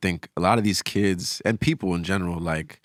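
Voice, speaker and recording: Recorded very cleanly against a silent background, a man with an American accent speaks at a very deep, low pitch with a dry, close sound and no echo. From New York. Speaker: musician. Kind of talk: casual chat.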